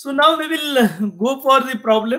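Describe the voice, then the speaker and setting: Moderate pace from a man, with quiet behind him. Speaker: engineering lecturer. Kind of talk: lecture. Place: home room. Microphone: webcam.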